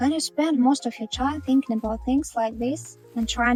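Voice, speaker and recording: A woman speaks in a Russian accent. Music plays in the background. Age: 30s. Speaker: sewing factory worker. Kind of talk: personal vlog narration.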